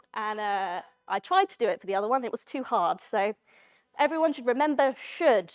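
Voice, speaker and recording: A fairly high-pitched woman at a fairly quick pace, with very wide pitch swings and big swings in loudness, dry and close with no echo. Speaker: conference speaker, software developer. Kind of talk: tech talk with live demo. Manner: fast.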